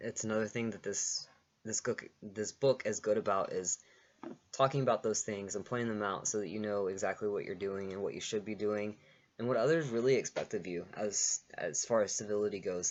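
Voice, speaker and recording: A man at a fairly low pitch, fairly quick, with fairly even intonation. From Texas. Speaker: vlogger, social work student. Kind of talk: casual vlog. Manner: fast; hesitant, with repeated words.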